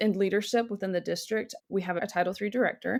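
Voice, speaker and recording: Speaking at a fairly quick pace, a woman with a Southern US accent uses a medium pitch with ordinary variation. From North Carolina, Cabarrus County. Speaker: school district instructional specialist. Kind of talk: podcast interview.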